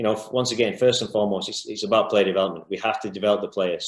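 A man talks at a very fast pace in a fairly low pitch, with audible room echo and a quiet background. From UK. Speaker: youth football coach. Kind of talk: lecture. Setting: video call. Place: home room. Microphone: video call.

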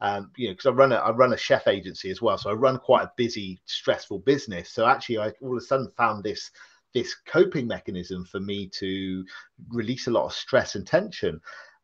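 The setting is quiet. A man speaks there at a fairly quick pace. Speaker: podcast guest, laughter yoga facilitator. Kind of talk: interview answer. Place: home room. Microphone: video call.

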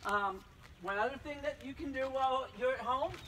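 A man speaks in a raised, projected voice with light background noise behind him. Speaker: physical education teacher. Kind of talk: tutorial. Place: street. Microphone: camera far.

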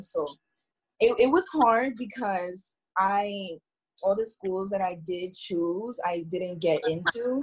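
Someone with an American accent speaks at a fairly slow pace in a somewhat breathy voice. The background is quiet. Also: woman. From New Jersey. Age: 20s. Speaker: university student. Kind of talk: casual chat. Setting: video call. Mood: candid, reflective. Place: home room. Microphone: video call.

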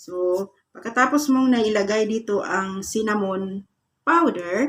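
Her intonation is lively. The woman's voice is somewhat breathy. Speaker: YouTube vlogger giving manifestation tips; vlogger giving a prosperity ritual tutorial. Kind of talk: guided meditation-style instructions for a morning manifestation ritual. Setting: video channel address to viewers. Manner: polite, repeating 'po' and 'guys' while guiding step by step. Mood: calm, earnest, soft. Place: home room. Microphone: phone near.

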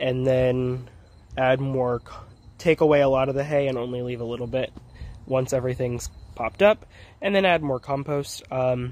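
The speech moves at a moderate pace, and the sound is dry with no echo. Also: man. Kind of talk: casual vlog chat. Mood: upbeat, relaxed. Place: garden. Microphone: phone near.

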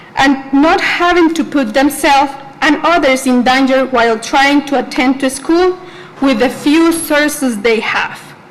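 A woman speaks at a high pitch and a fairly slow pace, with ordinary pitch variation. Noticeable background noise sits behind her. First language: Spanish. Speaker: student, public commenter. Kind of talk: public comment at board meeting. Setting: school board meeting.

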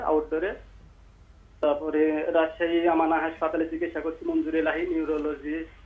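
A man speaks with monotone, flat intonation. There is noticeable background noise. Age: 30s. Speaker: caller with back and leg pain. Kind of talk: phone-in question.

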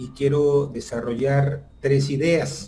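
Very slow, dark, mellow male speech at a medium pitch, somewhat breathy. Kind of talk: lecture. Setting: video call.

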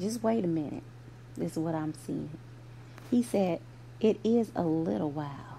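A woman with a very deep, low pitch and a dark, mellow tone talks at a moderate pace, her voice showing vocal fry. Her pitch swings very widely, and she takes long, frequent pauses. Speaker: preacher. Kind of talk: fervent prayer. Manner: earnest, fervent, rhythmic.

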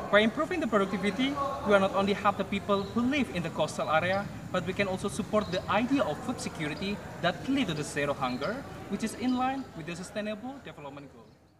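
Speaking with an Indonesian accent, a man talks at a very fast pace in a high pitch. His intonation is lively, and there is noticeable background noise. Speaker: agrotechnology student. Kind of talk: prepared pitch. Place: garden. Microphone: camera far.

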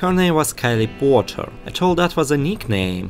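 Moderate pace, very wide pitch swings and a non-native accent, with music in the background. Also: man. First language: non-native English speaker. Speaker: gaming YouTuber. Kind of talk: gameplay story narration.

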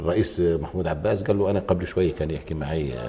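A man talks at a fairly quick pace. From Jordan (Palestinian refugee family). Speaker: lawyer and former member of parliament; lawyer. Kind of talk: TV political talk show. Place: studio. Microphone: lapel.

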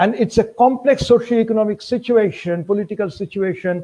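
Ordinary pitch variation with a Bengali accent. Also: man. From Bengal, India. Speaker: university professor of history. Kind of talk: academic lecture. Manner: formal, measured. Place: home room. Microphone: webcam.

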